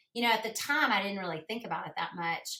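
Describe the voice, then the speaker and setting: A woman with a Southern US accent speaks in a bright, sharp tone with ordinary pitch variation. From US South. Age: 50s. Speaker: podcast guest. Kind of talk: casual chat.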